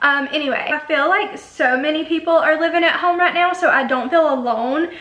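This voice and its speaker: Over noticeable background noise, a woman talks in a high pitch with lively intonation. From Alabama. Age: 20s. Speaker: beauty YouTuber. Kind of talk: casual chat. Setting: home bedroom. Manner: chatty, filler-heavy.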